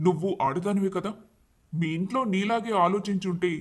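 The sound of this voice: Pitch varies in an ordinary way as an unforced reading voice carries the text.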